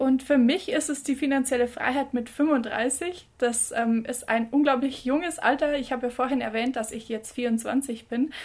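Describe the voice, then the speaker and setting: Hardly pausing at all, a woman speaks at a high pitch with fairly even intonation. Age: 20s. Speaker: podcast co-host. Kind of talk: casual chat. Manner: halting.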